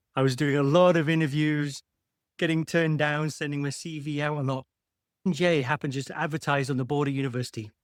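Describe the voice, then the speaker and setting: A man with a British accent speaks at a very fast pace in a fairly high pitch. His intonation is monotone and flat, and the recording is very clean with a silent background. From UK. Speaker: medtech founder and engineer. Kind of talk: podcast interview.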